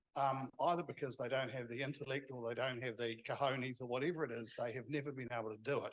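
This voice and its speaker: Speaking at a very fast pace with a New Zealand accent, a man holds a medium pitch and fairly even intonation. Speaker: event organiser. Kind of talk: closing remarks.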